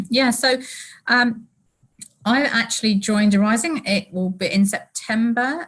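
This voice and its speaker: This woman speaks with a British accent. Her pitch varies in an ordinary way. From UK. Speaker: company employee. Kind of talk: casual chat.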